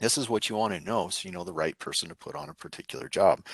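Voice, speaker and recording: A man talks very fast on a dry, close recording with no echo and a quiet background. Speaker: drone program presenter. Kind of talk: conference presentation.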